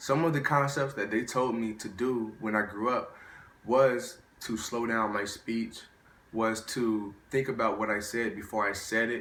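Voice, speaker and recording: A man speaks at a fairly slow pace in a medium pitch. There is audible room echo. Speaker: student presenter. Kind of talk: prepared speech. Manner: halting.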